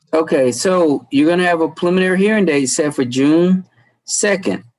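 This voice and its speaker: With an American accent, a man talks at a moderate pace in a high pitch, with ordinary pitch variation. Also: very even loudness. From US South. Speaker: judge. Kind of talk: court hearing.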